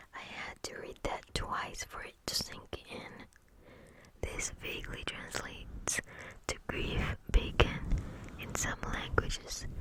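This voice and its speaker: Whispering at a very slow pace with long, frequent pauses, the voice comes through noticeable background noise. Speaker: ASMR creator. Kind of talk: ASMR fact reading. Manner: whispered.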